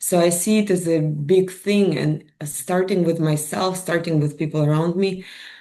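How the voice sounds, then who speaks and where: A woman speaks with a Russian accent in a dark, mellow tone. Her intonation stays fairly even. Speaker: mind and wellness coach. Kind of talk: interview. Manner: hesitant.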